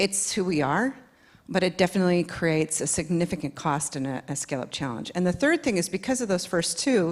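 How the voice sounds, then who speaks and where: A woman with an American accent talks at a very fast pace. The recording is very clean, with a silent background. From United States. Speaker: panelist, tech industry. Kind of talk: panel discussion.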